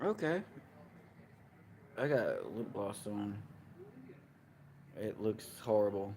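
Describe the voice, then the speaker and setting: The delivery moves at a very slow pace. Long pauses come frequently. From Kentucky, Russellville. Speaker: live streamer. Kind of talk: casual chat. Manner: halting.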